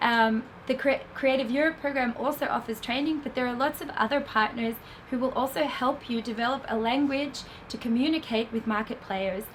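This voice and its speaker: Someone with an Australian accent speaks at a fairly quick pace. Noticeable background noise fills the recording. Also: woman, high pitch for a woman. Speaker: film festival industry program manager. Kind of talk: lecture. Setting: stage with audience.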